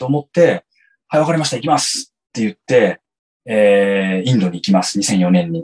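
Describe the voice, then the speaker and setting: A man's somewhat breathy voice, swinging very widely in pitch. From Japan (Yokohama) and San Diego, California. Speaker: company employee in marketing. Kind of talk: interview. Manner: halting, many fillers.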